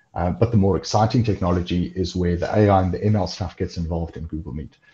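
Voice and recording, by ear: A man speaks fast at a low pitch with ordinary pitch variation. His tone is dark and mellow with a slightly husky edge.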